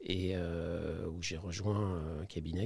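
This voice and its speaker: A man speaks in a somewhat breathy voice. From France, Saint-Étienne (Auvergne-Rhône-Alpes). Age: 60s. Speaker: company CEO, investor. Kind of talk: podcast interview. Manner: hesitant, many fillers and repetitions.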